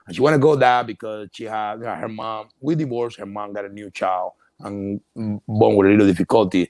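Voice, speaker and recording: A man talks at a fairly quick pace with hardly any pauses, his fairly low voice showing ordinary pitch variation and big swings in loudness in a dry, close sound with no echo. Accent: Cuban. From Cuba. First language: Spanish. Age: 50s. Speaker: entrepreneur. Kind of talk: interview. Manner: halting, repetitive.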